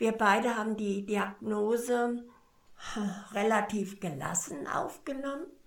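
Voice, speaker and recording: A woman speaks very slowly with a fairly high voice and ordinary pitch variation, leaving long, frequent pauses in a room with audible echo. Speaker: cancer patient. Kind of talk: interview. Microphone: poor recording quality.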